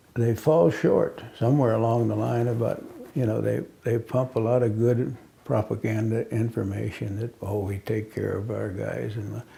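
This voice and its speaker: Against noticeable background noise, a man delivers his words at a moderate speed. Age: 70s. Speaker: military veteran. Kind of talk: interview. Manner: halting.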